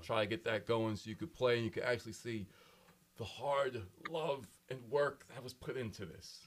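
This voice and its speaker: A man's strained, put-on character voice at medium pitch, moderate in pace, with ordinary pitch variation and big swings in loudness. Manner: strained, pained-sounding.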